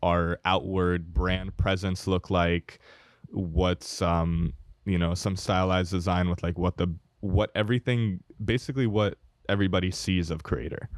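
Fairly slow speech in a man's very deep, low voice. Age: 20s. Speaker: podcast co-host. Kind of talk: casual chat. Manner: many fillers (um, uh).

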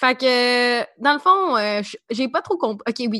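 A woman talks with a high pitch and very wide swings in pitch. The background is quiet. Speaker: podcast co-host. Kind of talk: casual chat. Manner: animated.

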